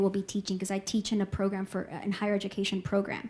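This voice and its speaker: A woman with a Spanish accent sounds somewhat breathy, her tone dark and mellow. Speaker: professor. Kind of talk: lecture.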